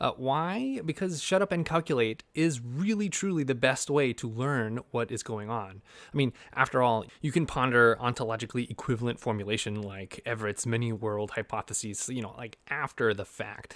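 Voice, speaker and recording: Recorded very cleanly with a silent background, a man at a medium pitch talks at a moderate pace with lively intonation and hardly any pauses. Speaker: physics educator. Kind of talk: vlog monologue. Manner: animated; hesitant fillers.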